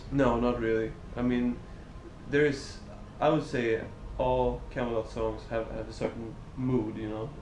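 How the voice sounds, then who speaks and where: In a Swedish accent, a man with a medium pitch talks in a monotone, flat intonation at a fairly slow pace, with long, frequent pauses and audible room echo. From Sweden. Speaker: metal band singer. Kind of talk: interview. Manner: halting.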